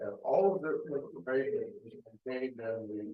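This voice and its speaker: The voice belongs to a man. He talks at a fairly unhurried speed. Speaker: traffic engineer. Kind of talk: public meeting presentation. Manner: soft-spoken. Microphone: too far from the microphone.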